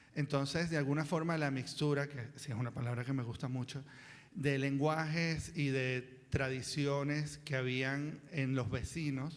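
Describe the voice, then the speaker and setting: Delivery comes at a fairly slow pace with monotone, flat intonation. Audible room echo surrounds the voice. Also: man, fairly high pitch for a man. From Venezuela, Caracas (Chacao). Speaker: children's book author, panelist. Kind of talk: panel talk at a seminar.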